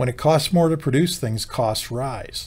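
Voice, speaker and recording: In an American accent, a man talks at a fairly high pitch in a somewhat breathy voice. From US. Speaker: company CEO and co-founder. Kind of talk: explainer video monologue. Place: office.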